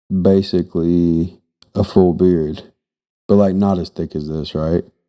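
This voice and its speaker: Speaking at a fairly slow pace, a man with a very deep, low pitch uses monotone, flat intonation and a dark, mellow tone. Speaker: podcast co-host. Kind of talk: casual chat. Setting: podcast studio.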